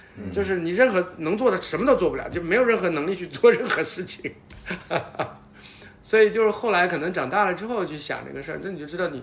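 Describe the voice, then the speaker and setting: A man's high-pitched voice at a very fast pace, with big swings in loudness, ordinary pitch variation, and noticeable background noise. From Northeast China, Changchun. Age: 50s. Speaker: podcast guest. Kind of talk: casual chat.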